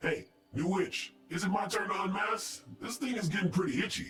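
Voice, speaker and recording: Using a put-on character voice, a man speaks at a moderate pace in a high pitch. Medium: video game. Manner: teasing.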